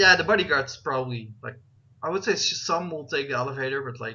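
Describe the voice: The voice has a bright, sharp tone and ordinary pitch variation, with audible room echo around it. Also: man.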